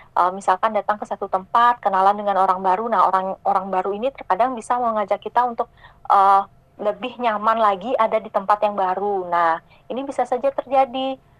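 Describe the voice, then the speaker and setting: Delivered at a fairly quick pace, the speech has fairly even intonation and a dry, close sound with no echo. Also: woman, medium pitch for a woman. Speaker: psychologist. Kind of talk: radio interview. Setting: video call.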